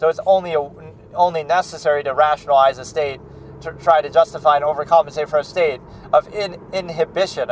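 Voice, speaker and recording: A man's fairly high voice with fairly even intonation, set against noticeable background noise. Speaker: film reaction channel host. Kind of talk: philosophical monologue. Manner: loud; halting.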